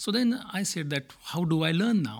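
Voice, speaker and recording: Over a very clean recording with a silent background, a man speaks at a moderate pace. He has an Indian accent and lively intonation. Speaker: manager at multinational company. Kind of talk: interview conversation about leadership and culture.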